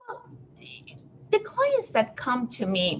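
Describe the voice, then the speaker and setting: The pace is fairly slow. There is noticeable background noise. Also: woman. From abroad, not the US. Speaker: business consultant. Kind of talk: podcast interview.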